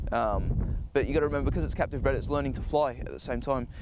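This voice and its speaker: Noticeable background noise and audible room echo fill the recording. Through them, a man speaks very fast. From Australia, Sydney. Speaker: falconer. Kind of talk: interview. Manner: halting, many fillers and repeats.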